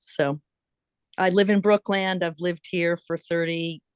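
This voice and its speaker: A woman with an ordinary speaking voice, fairly low in pitch, at a moderate pace, in a dry, close sound with no echo against a quiet background. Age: 60s. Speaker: community member. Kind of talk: casual chat.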